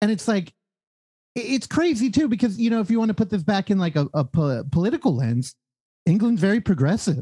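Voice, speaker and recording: A man speaks at a high pitch with very wide swings in pitch, a dark, mellow tone and very even loudness, recorded dry and close with no echo. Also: fairly quick pace. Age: 30s. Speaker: podcast host. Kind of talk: casual chat.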